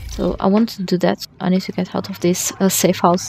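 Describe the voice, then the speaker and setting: A woman whispering quietly at a moderate pace, the sound dry and close with no echo, with noticeable background noise behind her. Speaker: gamer. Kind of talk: gameplay tutorial commentary. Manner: quiet, almost whispering.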